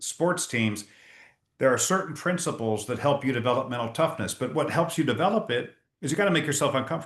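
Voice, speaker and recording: Talking at a very fast pace, a man has a somewhat breathy voice at a fairly high pitch. His intonation is lively. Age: 60s. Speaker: leadership speaker and author. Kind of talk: interview.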